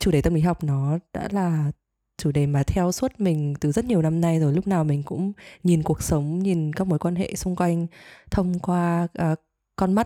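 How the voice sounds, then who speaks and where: With a dark, mellow tone and a fairly low pitch, a woman speaks with ordinary pitch variation in a dry, close sound with no echo. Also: very clean recording, silent background. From Vietnam, Hanoi. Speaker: podcast co-host, teacher. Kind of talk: casual chat.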